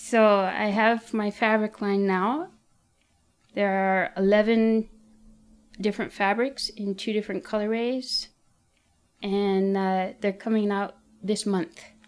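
Speaking very slowly with long, frequent pauses, a woman keeps a monotone, flat intonation in a very clean recording with a silent background. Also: medium pitch for a woman. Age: 40s. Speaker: artist and textile designer. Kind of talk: personal testimony.

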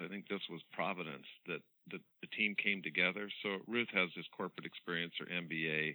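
The voice belongs to a man and sits very deep and low. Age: 60s. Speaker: veterinarian, founder of a pet care initiative. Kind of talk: casual interview chat. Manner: fast, energetic.

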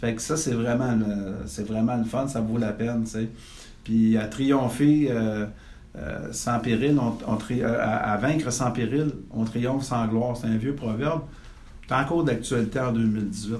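A man talks over noticeable background noise, with audible room echo. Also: medium pitch for a man, ordinary pitch variation. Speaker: real estate consultant and podcast host. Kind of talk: interview.

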